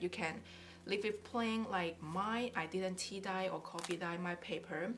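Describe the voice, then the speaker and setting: Pitch moves in an ordinary way at a moderate pace. Background noise is noticeable. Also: woman. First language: not English. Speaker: craft YouTuber. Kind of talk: casual tutorial. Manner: halting.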